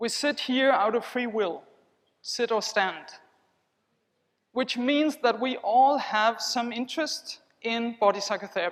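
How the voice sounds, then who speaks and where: A woman with a non-native accent, fairly high in pitch with ordinary pitch variation, speaking at a fairly slow pace with long, frequent pauses. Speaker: body psychotherapist. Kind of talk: conference keynote with guided body awareness. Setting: conference hall with audience. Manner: slow, guiding.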